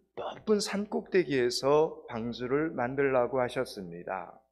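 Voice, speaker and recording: A man speaks at a very slow pace with a medium pitch. His intonation is lively, and the background is quiet. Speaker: pastor. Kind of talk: sermon. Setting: church.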